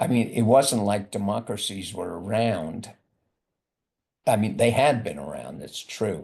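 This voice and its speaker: A man's fairly low, lively voice with vocal fry, big swings in loudness and a fairly slow pace, over a quiet background. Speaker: professor. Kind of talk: lecture. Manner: mumbling; halting.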